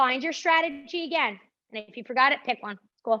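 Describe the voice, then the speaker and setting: A woman speaks with a New Jersey accent and lively intonation. Her tone is upbeat, bright and sharp. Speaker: pilates instructor. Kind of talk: fitness class instruction. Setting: live stream class. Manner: upbeat, encouraging.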